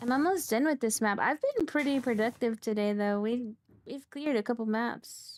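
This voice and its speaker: A woman speaks loudly. Her pitch is high. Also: ordinary pitch variation, moderate pace. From California. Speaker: vtuber game streamer. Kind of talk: casual chat while gaming, reading chat.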